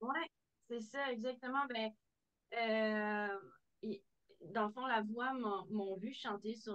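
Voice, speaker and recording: A woman speaks with fairly even intonation at a fairly high pitch. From Quebec City region, Quebec; Quebec. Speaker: country singer; guest. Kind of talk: interview. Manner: halting. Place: home room. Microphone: video call.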